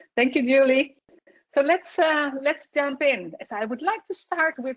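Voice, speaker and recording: The woman speaks with a Dutch accent and a high pitch. Her pace is moderate. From Netherlands. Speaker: software solutions specialist. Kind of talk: webinar presentation. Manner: halting.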